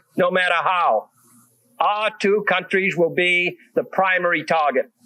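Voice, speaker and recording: A man with an American accent speaks at a high pitch in a raised, projected voice. His intonation is fairly even. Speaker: president. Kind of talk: political speech.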